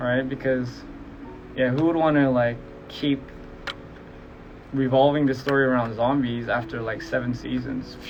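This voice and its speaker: A man with a medium pitch speaks in a monotone, flat intonation, leaving long, frequent pauses. Audible room echo and noticeable background noise are present. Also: moderate pace. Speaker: musician streaming live to fans. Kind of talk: casual livestream Q&A. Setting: Instagram live stream. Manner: casual, hesitant with fillers.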